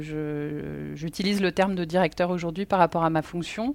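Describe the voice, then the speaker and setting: A woman with an unremarkable speaking voice talks at a fairly slow pace, with a fairly low pitch and ordinary pitch variation, in a very clean recording with a silent background. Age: 40s. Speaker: company executive. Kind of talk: interview. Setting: on-site at company offices.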